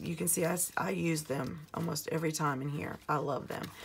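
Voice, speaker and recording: Intonation stays fairly even against noticeable background noise. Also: woman. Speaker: planner YouTuber. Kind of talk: casual plan-with-me video. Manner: chatty, friendly.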